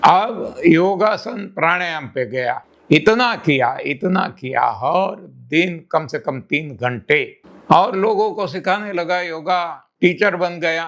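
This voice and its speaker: High in pitch, a man speaks with lively intonation. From India, rural village. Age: 80s+. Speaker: health and diet teacher. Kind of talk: motivational talk / personal testimony. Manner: energetic.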